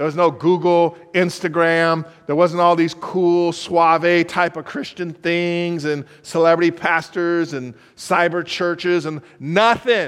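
A man speaks at a high pitch. His pace is very slow. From California. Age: 50s. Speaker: guest preacher. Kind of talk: sermon.

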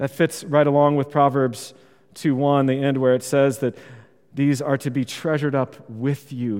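This man has a plain, everyday voice. His pitch is fairly high. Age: 40s. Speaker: pastor. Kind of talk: sermon.

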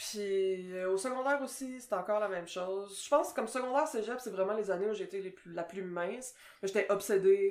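Her pitch medium and its variation ordinary, a woman speaks at a moderate pace. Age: 30s. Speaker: podcast co-host, translator. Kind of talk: casual chat.

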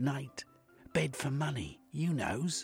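A man's put-on character voice at a medium pitch, slow and husky with a rough edge and vocal fry, full of big pitch swings, over faint music in the background.

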